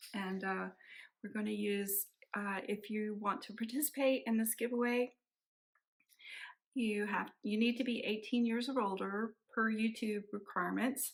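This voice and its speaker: A woman's fairly high, monotone, flat voice at a fairly slow pace, broken by long, frequent pauses. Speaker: cross stitch vlogger. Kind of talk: casual vlog chat. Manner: halting, many fillers and restarts.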